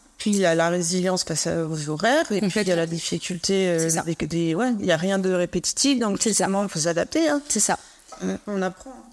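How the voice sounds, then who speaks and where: This woman has an unremarkable speaking voice at a medium pitch, with ordinary pitch variation. She keeps a moderate pace and very even loudness. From Alsace, France. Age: 40s. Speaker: podcast host. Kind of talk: interview. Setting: studio.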